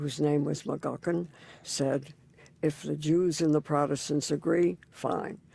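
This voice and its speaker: Fairly slow and fairly even in intonation, a woman speaks with a very deep, low pitch, vocal fry and a dark, mellow tone. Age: 90s. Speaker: interfaith community leader. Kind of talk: oral history interview. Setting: recording booth in a library.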